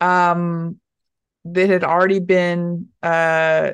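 A woman's fairly low voice in a flat monotone over a quiet background. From Dallas, Texas. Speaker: stand-up comedian. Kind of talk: casual interview chat.

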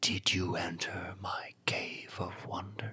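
A man's creaky, whispering put-on character voice at a fairly slow pace.

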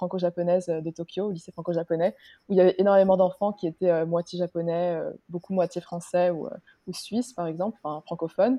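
Speaking at a fairly quick pace, a woman uses an unremarkable speaking voice at medium pitch. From Luxembourg. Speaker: podcast guest. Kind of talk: interview.

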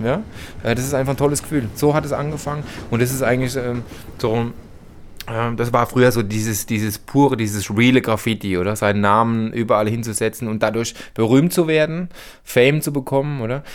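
A man with a medium pitch and ordinary pitch variation speaks with long, frequent pauses. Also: fairly quick pace. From Heidelberg, Germany. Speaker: former graffiti artist. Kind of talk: interview. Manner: hesitant with fillers.

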